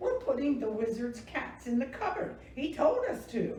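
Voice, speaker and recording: Using a put-on character voice, a woman speaks high at a moderate pace, with a slight echo around her. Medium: read story. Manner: eager, innocent.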